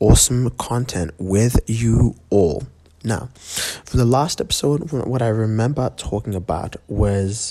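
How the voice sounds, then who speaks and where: Quiet and at a fairly slow pace, a man speaks at medium pitch with ordinary pitch variation. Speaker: podcast host and musician. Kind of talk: casual monologue. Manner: quiet, kept down; hesitant, many fillers.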